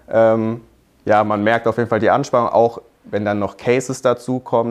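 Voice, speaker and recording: A man speaks at medium pitch and a fairly quick pace. His intonation is monotone and flat. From Hockenheim, Baden-Württemberg, Germany. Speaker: business student. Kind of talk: casual interview.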